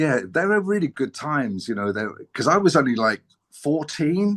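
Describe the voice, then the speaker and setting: In a London accent, the speaker goes at a fairly slow pace with very wide pitch swings over a quiet background. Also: man. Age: 60s. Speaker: former musician, friend of band founder. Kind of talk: interview. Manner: halting.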